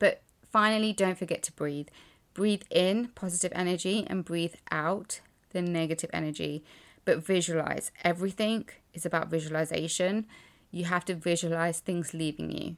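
In an unremarkable speaking voice, a woman with a fairly low pitch keeps a fairly even intonation at a moderate pace on a very clean recording with a silent background. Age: 30s. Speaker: life coach and podcast host. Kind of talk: solo podcast monologue.

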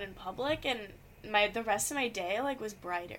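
A woman speaks in a raised, projected voice with a bright, sharp tone, lively intonation, and a moderate pace. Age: young. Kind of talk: casual interview.

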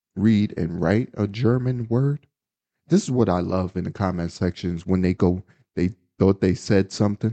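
In a normal speaking voice with an American accent, a man talks at a moderate pace in a fairly low pitch with ordinary pitch variation. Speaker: podcast co-host. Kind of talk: casual chat.

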